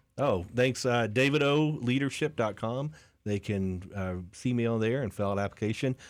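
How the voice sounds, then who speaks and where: In an American accent, a man with an ordinary speaking voice and medium pitch speaks at a moderate pace with ordinary pitch variation on a very clean recording with a silent background. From Lakeland, Florida. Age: 40s. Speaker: business coach. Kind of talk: interview.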